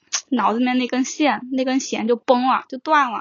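A woman's voice, high in pitch. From southern China. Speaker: podcast guest. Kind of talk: casual chat.

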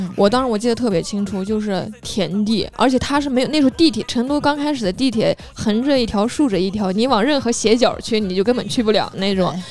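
The speech runs at a fairly quick pace while music sits in the background. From northern China. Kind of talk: casual chat.

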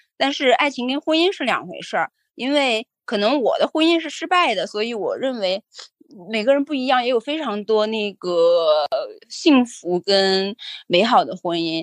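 A fairly high-pitched woman at a moderate pace, very wide pitch swings, dry, close sound with no echo. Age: middle-aged. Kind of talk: casual chat.

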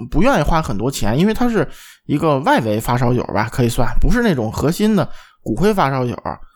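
A man with a medium-pitched voice talks at a fast pace, his pitch swinging widely.

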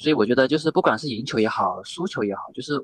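The sound is dry and close with no echo as a man talks with lively intonation. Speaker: volleyball video blogger. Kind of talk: casual chat.

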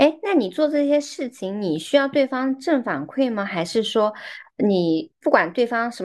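Fairly slow speech with very wide pitch swings over a quiet background. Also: woman. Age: 30s. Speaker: podcast host. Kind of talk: casual chat.

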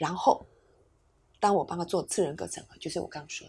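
The recording is very clean, with a silent background. A woman speaks in a somewhat breathy, fairly low voice. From Taiwan. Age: 60s. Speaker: psychologist and educator. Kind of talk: interview conversation.

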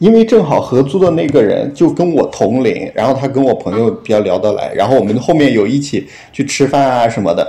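A man talks with hardly any pauses, his pitch swinging very widely. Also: fairly quick pace. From Henan, China. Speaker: podcast guest sharing a story. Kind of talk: casual storytelling chat. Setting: remote call. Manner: halting, many fillers.

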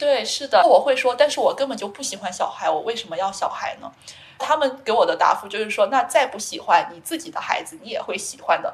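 A woman speaks at a fairly quick pace and high pitch, her pitch swinging very widely and her loudness shifting a lot. Noticeable background noise sits underneath. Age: 20s. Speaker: PhD student. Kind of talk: interview.

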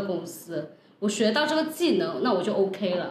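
Animated and moderately paced, a woman talks in a fairly high voice with very wide pitch swings. Noticeable background noise and audible room echo fill the recording. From Guangdong, China. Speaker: podcast host and entrepreneur. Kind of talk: casual chat.

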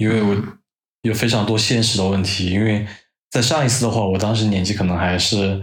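Somewhat breathy, fairly low-pitched male speech at a fairly quick pace, with audible room echo. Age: 30s. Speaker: podcast guest, host's longtime friend. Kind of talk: casual chat.

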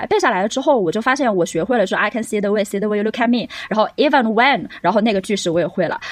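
Fairly high female voice with lively intonation. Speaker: podcast co-host, English teacher. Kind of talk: casual chat.

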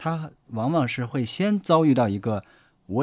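A man at a moderate pace with very wide pitch swings, on a very clean recording with a silent background. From Gansu, northwest China. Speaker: documentary director. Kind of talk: casual chat.

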